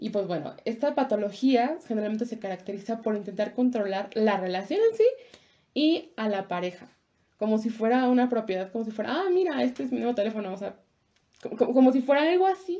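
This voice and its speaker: A woman's dark, mellow voice with lively intonation. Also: fairly high pitch for a woman, fairly quick pace. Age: 20s. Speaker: podcast co-host. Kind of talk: casual chat.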